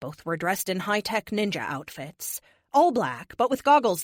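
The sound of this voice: Lively intonation paired with an unforced reading voice.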